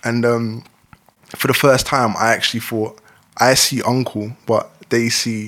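At a fairly slow pace, a man speaks in a flat monotone at a medium pitch, with long, frequent pauses. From East London (Dagenham), Jamaican-born. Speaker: rapper. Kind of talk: casual interview chat.

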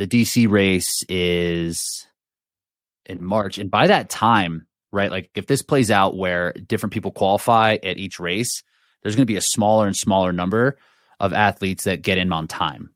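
A man speaks in an American accent with an ordinary speaking voice, fairly low pitch and fairly even intonation. His moderate pace comes through in a dry, close sound with no echo. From United States. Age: 30s. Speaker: podcast host and fitness coach. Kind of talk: casual chat. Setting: video call.

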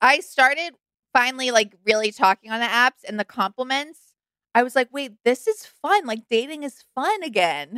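A woman speaks at a moderate pace in a high, raised, projected voice with lively intonation. Her tone is bright and sharp, and the sound is dry and close with no echo. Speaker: podcast co-host. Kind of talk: casual chat.

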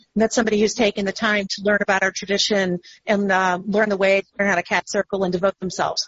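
A woman talks with an American accent. Her pitch sits in the medium range and her voice is somewhat breathy. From Texas. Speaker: Wiccan high priestess and clergy member. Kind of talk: casual interview chat.

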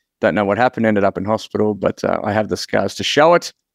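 Talking at a very fast pace, a man with an Australian accent uses a fairly low pitch in a dry, close sound with no echo against a quiet background. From Queensland, Australia. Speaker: marketing consultant. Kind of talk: casual interview chat.

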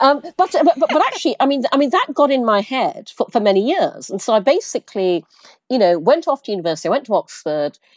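Someone with a British accent talks at a very fast pace, the pitch swinging very widely. The sound is dry and close, with no echo. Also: woman, high pitch for a woman. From Brunei, half English half Chinese parents. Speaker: entrepreneur, former advertising executive. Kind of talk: interview.

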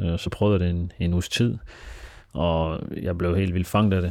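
A man's very deep, low pitch and dark, mellow tone on a very clean recording with a silent background. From Denmark, Aarhus (Frydenlund). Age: 20s. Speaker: football club director. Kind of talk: personal interview. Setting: his apartment.

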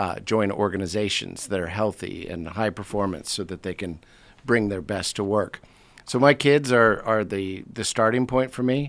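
With an unremarkable speaking voice and an American accent, a man talks at a moderate pace and fairly low pitch, with ordinary pitch variation. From United States. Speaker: leadership consultant and author. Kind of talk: interview conversation. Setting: studio.

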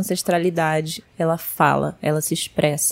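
This is a woman speaking. She talks at a moderate pace. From Latin America (Bolivia, Chile), born in Brazil. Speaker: travel expert, ancestry guide. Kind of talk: podcast interview. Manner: animated.

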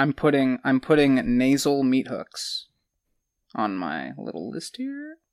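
Over a quiet background, a man talks at a very slow pace in a playful tone, with big swings in loudness. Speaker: guest co-host, whiskey taster. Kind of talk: casual chat, whiskey tasting. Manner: joking, playful.

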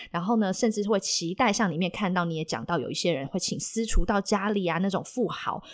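A woman with an unremarkable speaking voice talks at a fairly quick pace with ordinary pitch variation and hardly any pauses. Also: medium pitch for a woman. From Taiwan, Taipei. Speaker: podcast host. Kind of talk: casual interview.

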